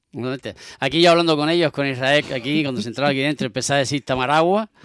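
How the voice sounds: A man speaks at a very fast pace and medium pitch, with ordinary pitch variation. His tone is fairly bright, clear and smooth.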